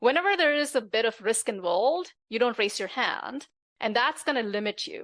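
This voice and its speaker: In a quiet setting, a woman with a high pitch and a non-native accent speaks at a moderate pace with lively intonation. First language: not English. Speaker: tech executive and author. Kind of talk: interview conversation.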